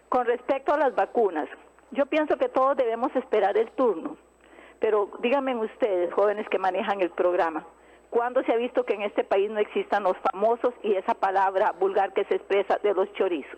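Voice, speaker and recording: Against noticeable background noise, a woman with a fairly high pitch speaks at a moderate pace with lively intonation. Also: very even loudness. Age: old. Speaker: caller, homemaker. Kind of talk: phone-in call.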